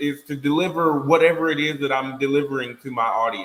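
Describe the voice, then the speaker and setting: A man's fairly high voice against noticeable background noise. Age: 30s. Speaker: podcast panelist. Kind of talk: casual chat. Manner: loud.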